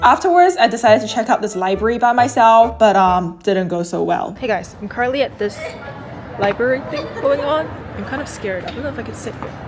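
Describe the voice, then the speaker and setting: Amid crowd noise in the background and audible room echo, a woman talks at a fairly quick pace with lively intonation. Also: fairly high pitch for a woman, big swings in loudness. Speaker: lifestyle vlogger. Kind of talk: vlog narration. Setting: library.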